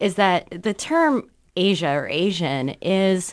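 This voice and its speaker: A woman is speaking at medium pitch. The background is quiet. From Southern California. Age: 30s. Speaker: radio co-host. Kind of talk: interview.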